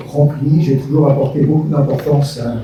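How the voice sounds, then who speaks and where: A man speaks at a fairly high pitch amid noticeable background noise and audible room echo. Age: 60s. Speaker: retired business executive, municipal candidate. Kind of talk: public meeting self-introduction. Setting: public meeting with audience.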